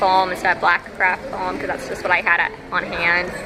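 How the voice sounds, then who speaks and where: Female voice at a moderate pace amid noticeable background noise. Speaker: cosplayer. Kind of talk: casual chat. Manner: soft-spoken.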